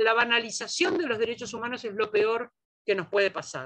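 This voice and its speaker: Pitch swings very widely in this voice, delivered at a moderate pace. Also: woman. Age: 60s. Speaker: feminist scholar, lecturer. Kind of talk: lecture Q&A.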